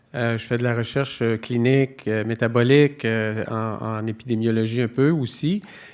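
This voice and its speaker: This man speaks at a moderate pace. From Quebec. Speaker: nutrition professor. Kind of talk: conference talk. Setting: conference stage with audience. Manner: hesitant, many fillers.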